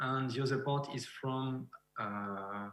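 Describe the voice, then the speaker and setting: In a French accent, a man speaks somewhat breathily with ordinary pitch variation. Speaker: beekeeper and researcher. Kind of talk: lecture. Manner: halting.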